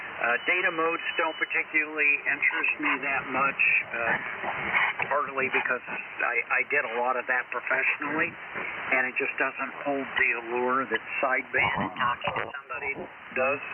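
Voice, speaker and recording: A man is speaking at a moderate pace. Background noise is noticeable. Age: 70s. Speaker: amateur radio operator. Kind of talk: ham radio on-air chat. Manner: hesitant, halting.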